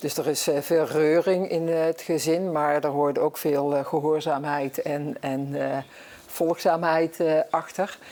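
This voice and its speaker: Very slowly and in a monotone, flat intonation, a woman speaks at a very deep, low pitch. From Netherlands, Brabant (Zevenbergen). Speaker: guest on local talk show. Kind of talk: talk show interview.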